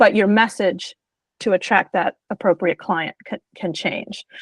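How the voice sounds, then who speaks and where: The sound is dry and close, with no echo. A woman is speaking. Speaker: business coach hosting a webinar. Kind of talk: webinar presentation and Q&A. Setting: video call webinar. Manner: fast; conversational, many fillers.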